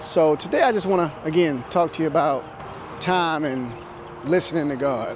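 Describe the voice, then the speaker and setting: Speaking at a moderate pace, a man with a fairly high pitch shows ordinary pitch variation and takes long, frequent pauses. Noticeable background noise runs underneath. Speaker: preacher, church speaker. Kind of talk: sermon-style preaching to camera.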